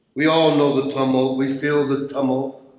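A man's slightly mellow, medium-pitched voice at a moderate pace, with strong room echo

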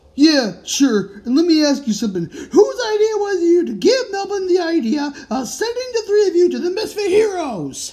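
The voice sits at an extremely high pitch and moves through very wide pitch swings. It keeps a moderate pace. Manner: angry, scolding.

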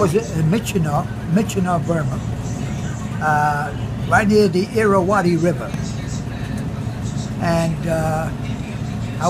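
Amid loud background noise, a man talks rather slowly. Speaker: war veteran. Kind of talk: interview answer. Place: cafe. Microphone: phone near.

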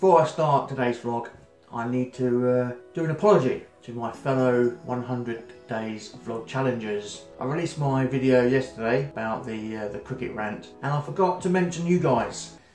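Faint music plays behind a man speaking at a moderate pace. Room echo is audible. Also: ordinary pitch variation. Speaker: vlogger. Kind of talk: casual vlog chat. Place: home room. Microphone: phone near.

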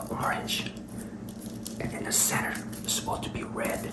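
Amid loud background noise, a man talks at a fairly quick pace. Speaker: food reviewer. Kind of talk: casual review vlog chat. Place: kitchen. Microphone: phone near.

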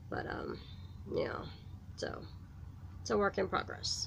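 A woman speaks at a slow pace. Room echo is audible.

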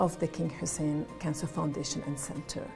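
A woman's voice comes through over clear music in the background. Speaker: interviewee. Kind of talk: interview answer. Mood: earnest, composed. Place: home room. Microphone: lapel.

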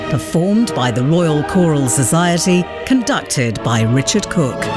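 A woman talks at a fairly slow pace while clear music plays behind her. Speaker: voice actor. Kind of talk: radio promo read. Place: studio.

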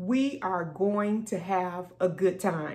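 A woman speaks in a somewhat breathy voice. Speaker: pastor. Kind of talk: worship service introduction. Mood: warm, grateful. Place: office. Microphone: phone near.

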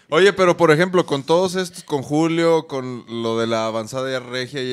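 An ordinary speaking voice with lively intonation at a moderate pace. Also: man. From Guadalajara, Mexico. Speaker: podcast co-host, musician; podcast co-host. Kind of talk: casual chat. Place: studio. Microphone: studio mic.

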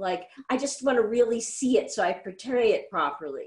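Against a quiet background, a woman speaks in a high voice. Her pitch swings very widely. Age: 50s. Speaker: artist and musician; interview guest. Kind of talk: interview. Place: home room. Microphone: video call.

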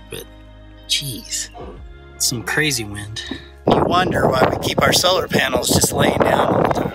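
A man speaks at a fairly slow pace over clear background music, the sound dry with no echo. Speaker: homesteader vlogger. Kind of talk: casual vlog chat. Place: open country. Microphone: phone near.

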